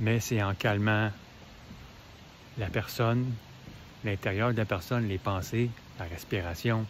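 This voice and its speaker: With a Quebec accent, a man speaks at a very slow pace and a fairly low pitch, keeping fairly even intonation and taking long, frequent pauses. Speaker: motivational video creator. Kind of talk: casual motivational talk.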